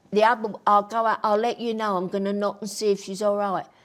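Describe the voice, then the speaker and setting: On a very clean recording with a silent background, a woman of medium pitch speaks with a Cockney accent. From East London (Bethnal Green). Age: 80s+. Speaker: grandmother and show host. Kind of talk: interview about her life. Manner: animated.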